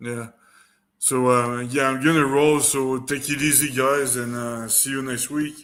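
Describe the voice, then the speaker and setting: A man speaks with a French accent. His intonation is flat and monotone. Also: medium pitch for a man, fairly slow pace. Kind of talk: casual chat. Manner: slow.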